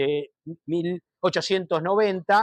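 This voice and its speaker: A man speaks with a high pitch and fairly even intonation. The sound is dry and close with no echo, over a quiet background. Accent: Rioplatense. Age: 60s. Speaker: speaker on politics and Judaism. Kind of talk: talk to an audience. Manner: hesitant, many fillers.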